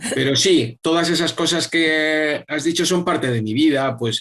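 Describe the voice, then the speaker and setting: A man speaks with a somewhat breathy voice. His pitch varies in an ordinary way. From Spain, Madrid. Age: 60s. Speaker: yoga teacher and public official. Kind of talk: interview. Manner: halting, many repetitions and fillers.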